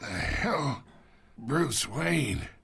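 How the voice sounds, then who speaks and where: A raspy, put-on character voice from a man, medium in pitch, with very wide pitch swings. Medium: video game. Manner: mocking, condescending.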